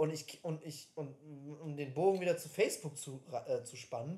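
Somewhat breathy, a man's fairly high voice is heard. His pitch varies in an ordinary way. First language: English (speaking German). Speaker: podcast co-host. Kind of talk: casual chat.

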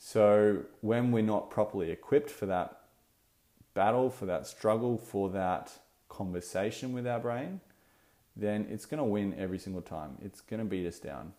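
A man with an Australian accent talks at a moderate pace in a fairly low pitch, with a dark, mellow tone and ordinary pitch variation. The recording is very clean, with a silent background. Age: 20s. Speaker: dietitian and podcast host. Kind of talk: solo podcast monologue.

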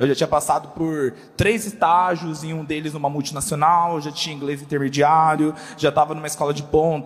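Through noticeable background noise, a man talks at a fairly quick pace and a fairly high pitch. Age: 20s. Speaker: church communications staff. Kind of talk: panel discussion. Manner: casual slangy.

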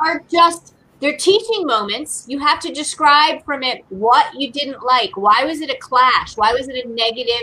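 Raising and projecting her voice, a woman speaks at a high pitch with lively intonation, a moderate pace and hardly any pauses. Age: 50s. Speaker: beer educator and advocate. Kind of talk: casual chat.

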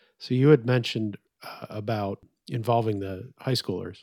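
A man speaks in a plain, everyday voice, keeping a moderate pace. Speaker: podcast host. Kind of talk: casual interview conversation. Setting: video call.

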